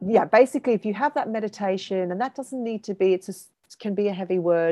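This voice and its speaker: Over a quiet background, a woman of medium pitch speaks at a very fast pace in a dark, mellow tone with ordinary pitch variation and a dry, close sound with no echo. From South Africa. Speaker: yogi and Ayurvedic practitioner, artist. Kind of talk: casual interview with explanatory teaching.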